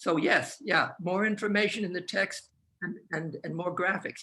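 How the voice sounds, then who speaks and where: A man speaks in a high pitch with a bright, sharp tone. His voice is raised and projected. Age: 80s+. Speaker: professor. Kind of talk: panel discussion. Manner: halting, many repeated words; fast.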